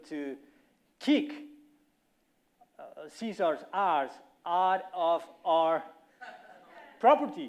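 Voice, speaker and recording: Lively intonation marks this man's speech in a Colombian accent. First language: Spanish. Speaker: company representative speaker. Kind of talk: conference talk.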